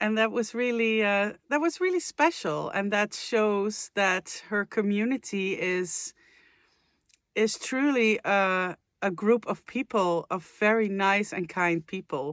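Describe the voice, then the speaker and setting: A woman with a Dutch accent, medium in pitch, at a very slow pace. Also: ordinary pitch variation, dry, close sound with no echo, very clean recording, silent background. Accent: Dutch accent, non-native English. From Netherlands. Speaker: vocal coach and singer, reaction youtuber. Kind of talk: casual reaction video chat. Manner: hesitant, many fillers.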